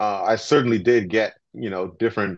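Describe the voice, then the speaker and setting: A man talks with ordinary pitch variation, and the background is quiet. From Canada. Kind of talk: panel discussion. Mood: calm, reflective. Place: home room. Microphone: video call.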